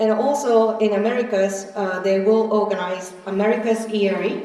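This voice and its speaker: A woman speaks at a medium pitch in a flat monotone, with noticeable background noise and audible room echo. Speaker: meeting presenter. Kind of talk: conference presentation. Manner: soft-spoken; halting.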